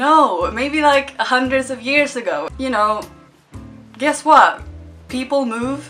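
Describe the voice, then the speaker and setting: The speaker has an upbeat tone, with music in the background. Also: woman. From Sweden. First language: Swedish. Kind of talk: casual talk to camera. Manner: lighthearted, upbeat.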